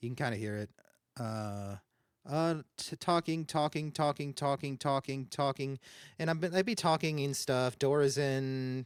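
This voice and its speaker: A man's fairly high voice at a fairly slow pace, in a very clean recording with a silent background. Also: ordinary pitch variation, dry, close sound with no echo. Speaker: streamer. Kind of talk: tutorial. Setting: live stream. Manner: halting.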